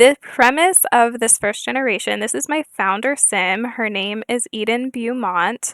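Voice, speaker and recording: Soft-spoken, a woman talks at a fairly slow pace in a bright, sharp tone. Her pitch is fairly high with ordinary variation, and the sound is dry and close with no echo. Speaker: gaming YouTuber. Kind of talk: casual gameplay chat. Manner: halting, many fillers.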